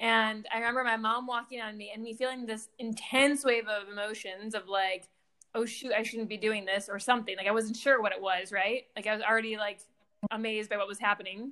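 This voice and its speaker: Bright and sharp in tone, a woman with an American accent talks at a fairly quick pace and fairly high pitch with fairly even intonation. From Michigan. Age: 40s. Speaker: relationship coach. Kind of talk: casual chat.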